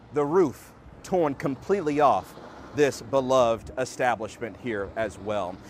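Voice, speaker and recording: Noticeable background noise surrounds this man. He speaks at medium pitch with lively intonation. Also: fairly slow pace. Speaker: TV news reporter and anchor. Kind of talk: live TV news field report. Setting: outdoors.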